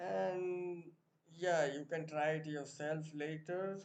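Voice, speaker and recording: Audible room echo surrounds a man with an Indian accent and a fairly high pitch. He speaks at a very slow pace with fairly even intonation. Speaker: programming tutor. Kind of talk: tutorial.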